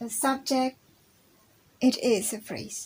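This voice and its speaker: A woman's very slow speech, monotone and flat in intonation. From Indonesia, Java. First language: Javanese. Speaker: university student. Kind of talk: recorded class presentation. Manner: halting.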